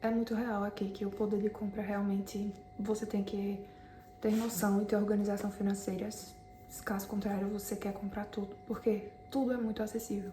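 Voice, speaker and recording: A woman's flat, monotone voice with a Brazilian accent over noticeable background noise. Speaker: vlogger, immigrant salesperson. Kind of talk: casual vlog.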